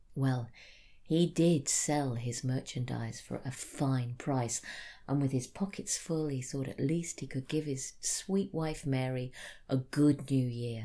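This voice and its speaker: A woman with a British accent talks at a very slow pace in a very deep, low pitch with ordinary pitch variation, her tone dark, mellow and warm on a very clean recording with a silent background. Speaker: storyteller. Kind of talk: ghost story telling, spoken storytelling of a folk tale. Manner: warm, sincere and earnest, storyteller's cadence.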